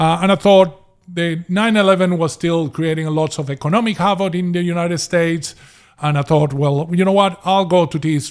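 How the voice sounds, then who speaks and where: Pitch moves in an ordinary way as the words come fairly quickly. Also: man, very clean recording, silent background. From Venezuela. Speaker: property investor. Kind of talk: podcast interview. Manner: hesitant with repeated words.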